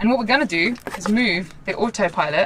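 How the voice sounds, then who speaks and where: A woman's voice comes with noticeable background noise. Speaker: sailing vlogger. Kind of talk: casual vlog chat. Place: boat. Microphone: phone near.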